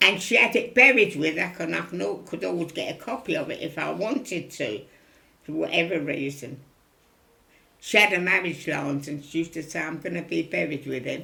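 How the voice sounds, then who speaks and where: The tone is bright and sharp, with vocal fry. The pace is fairly quick, and the pitch swings very wide. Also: woman. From London East End. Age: 90s. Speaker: elderly local resident. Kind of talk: interview. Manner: repetitive, conversational.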